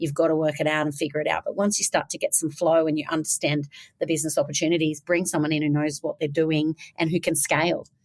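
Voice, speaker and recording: At a very fast pace, a woman speaks in a very deep, low voice with an intense tone. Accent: Australian. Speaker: business founder. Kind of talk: interview. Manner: direct, intense.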